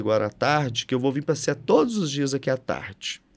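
A man's fairly high voice comes through at a fairly quick pace. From Brazil, Minas Gerais (Triângulo Mineiro). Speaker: state culture and tourism official, architect. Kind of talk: interview conversation. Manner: animated.

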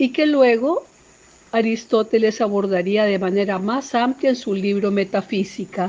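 A woman speaks at a fairly slow pace with a fairly high pitch and ordinary pitch variation. It is an unremarkable speaking voice. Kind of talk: poetry reading, solemn and intimate, after a spoken introduction. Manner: measured, lyrical, slow and expressive.

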